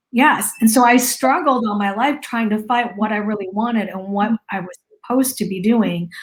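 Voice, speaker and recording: A woman speaks at a moderate pace with a fairly high pitch, ordinary pitch variation, and an unremarkable speaking voice. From US, Lao immigrant family. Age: 40s. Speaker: marketing business owner sharing personal story. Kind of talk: interview testimony.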